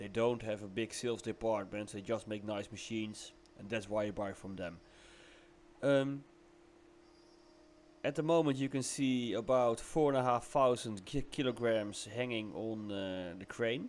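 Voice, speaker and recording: On a very clean recording with a silent background, a man with a Dutch accent speaks at a moderate pace and medium pitch, with ordinary pitch variation and long, frequent pauses. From Netherlands. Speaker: CNC machine customer, business owner. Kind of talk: casual video commentary. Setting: voiceover recorded while watching footage. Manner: halting, many fillers.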